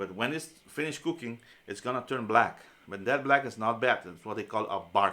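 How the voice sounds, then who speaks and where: A man talks at a fairly quick pace with a bright, sharp tone. The recording is very clean, with a silent background. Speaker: culinary instructor. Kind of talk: lecture. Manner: fast; halting.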